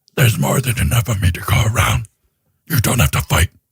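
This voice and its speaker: Putting on a character voice, a man rattles along at a very fast pace with a medium pitch. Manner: sinister, theatrical.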